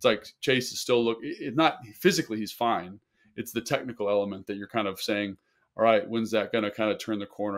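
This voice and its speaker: The pace is very fast. The background is quiet. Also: man. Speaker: sports podcast co-host, former NFL tight end. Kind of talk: casual sports analysis chat. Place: home room. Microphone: earbuds.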